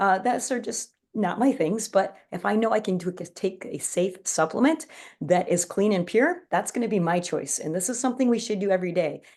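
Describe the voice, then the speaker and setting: A woman talks at a fairly quick pace in a plain, everyday voice of medium pitch. Her intonation is lively. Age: 40s. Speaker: wellness product presenter. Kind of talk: online presentation. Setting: live stream.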